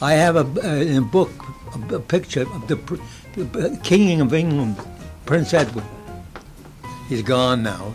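Over clear music in the background, a man speaks at a fairly high pitch and a fairly slow pace, with long, frequent pauses. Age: 90s. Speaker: tailor. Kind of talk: interview answer. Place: office.

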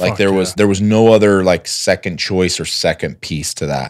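Against a quiet background, a man speaks with a fairly low pitch. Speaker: podcast guest. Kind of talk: interview answer. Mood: reflective, earnest. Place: studio. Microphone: studio mic.

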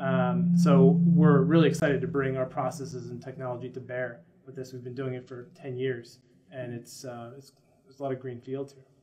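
With big swings in loudness, a man talks at a moderate pace in an ordinary speaking voice, medium in pitch with ordinary pitch variation. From United States. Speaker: dental marketing company founder. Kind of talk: interview. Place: office.

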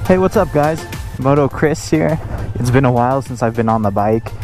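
A man speaks with faint music in the background. The sound is dry with no echo. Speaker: motovlogger. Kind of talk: casual vlog chat. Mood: upbeat, eager to ride. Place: motorbike.

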